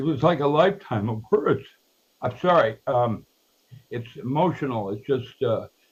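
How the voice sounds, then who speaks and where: Somewhat breathy and fairly slow, a man speaks with lively intonation. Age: 80s+. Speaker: researcher and author. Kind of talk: interview. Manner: circling, hesitant.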